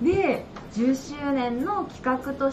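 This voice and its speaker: Light background noise sits behind the speaker. She is a woman with a high voice. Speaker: shop staff host. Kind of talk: livestream announcement.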